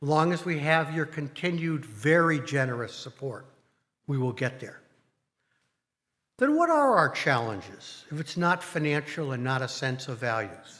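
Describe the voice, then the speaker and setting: Here is a man with a fairly high pitch. His tone is bright and sharp. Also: ordinary pitch variation, moderate pace. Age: 60s. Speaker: congregation board president. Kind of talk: speech to congregation. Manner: formal.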